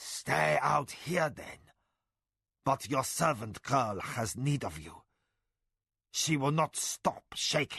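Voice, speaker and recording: Using a gruff, put-on character voice at medium pitch, a man speaks very slowly with very wide pitch swings and long, frequent pauses. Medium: read story. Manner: proud, matter-of-fact.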